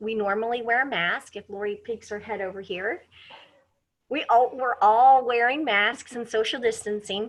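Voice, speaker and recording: A woman with a fairly high pitch talks in a normal speaking voice at a moderate pace, her intonation fairly even but her loudness swinging widely, over a quiet background. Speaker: wildlife center educator. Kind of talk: interview.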